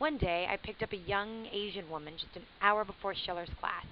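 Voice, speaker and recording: An ordinary speaking voice from a woman, medium in pitch with ordinary pitch variation, at a fairly quick pace. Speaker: comedian. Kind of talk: audiobook reading.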